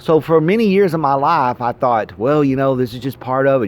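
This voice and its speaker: An ordinary speaking voice from a man, medium in pitch, with lively intonation and a fairly quick pace. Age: 40s. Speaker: vlogger. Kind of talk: casual monologue.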